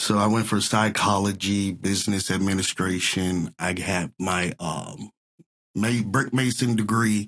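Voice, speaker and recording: A man speaks at a fairly slow pace in a fairly low pitch, with fairly even intonation and a slight Southern US accent. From US South (Texas and Mississippi). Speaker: entertainer. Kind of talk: casual interview chat.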